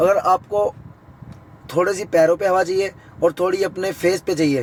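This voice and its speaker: A man speaks fairly slowly in a high voice with ordinary pitch variation. The sound is dry and close with no echo, though background noise is noticeable. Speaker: YouTube vlogger. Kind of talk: tutorial. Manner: casual, conversational.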